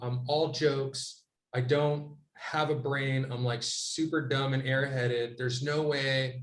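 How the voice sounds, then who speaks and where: Audible room echo is present. The man's voice is fairly high in pitch. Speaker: podcast co-host. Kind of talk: casual chat. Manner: loud; animated.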